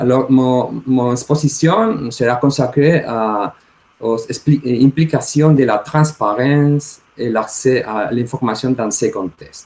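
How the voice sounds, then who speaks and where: Speaking very slowly in a Spanish accent, a man keeps a medium pitch with ordinary pitch variation. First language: Spanish (speaking French). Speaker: law professor. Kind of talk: conference talk. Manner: halting, many hesitations.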